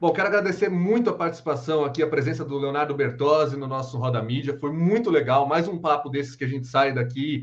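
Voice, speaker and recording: A plain, everyday voice from a man, fairly quick with ordinary pitch variation and hardly any pauses. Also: fairly high pitch for a man. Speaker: podcast host. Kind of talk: live video podcast interview.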